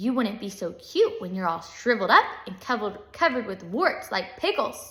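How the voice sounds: Here the reading voice is natural.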